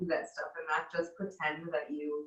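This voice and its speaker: A woman with an American accent speaks fairly slowly in a very deep, low voice. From US Midwest. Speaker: missionary. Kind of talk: casual chat.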